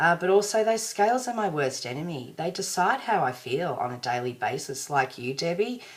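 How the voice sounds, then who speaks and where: A woman with an Australian accent speaks in a very deep, low voice. Her pitch swings very widely at a moderate pace. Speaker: vlogger. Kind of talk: personal video diary. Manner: casual, rambling.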